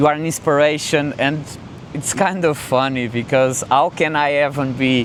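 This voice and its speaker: A man speaks with a non-native accent at a fairly high pitch. Noticeable background noise can be heard. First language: not English. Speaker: content creator. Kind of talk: casual vlog talk to camera. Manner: halting, with fillers and restarts; calm, relaxed.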